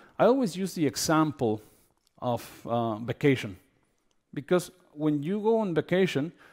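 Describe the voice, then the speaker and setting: A man with a non-native accent and fairly high pitch, very wide pitch swings, a moderate pace and long, frequent pauses, on a very clean recording with a silent background. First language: not English. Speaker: healthcare consultant. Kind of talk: conference talk. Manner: hesitant, many fillers.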